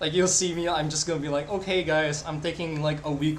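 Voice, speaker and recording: In a Filipino accent, a man with fairly high pitch and fairly even intonation speaks amid noticeable background noise and audible room echo. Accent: non-native Filipino accent, noticeable. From Philippines. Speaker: live-streaming digital artist. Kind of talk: casual chat while drawing on stream.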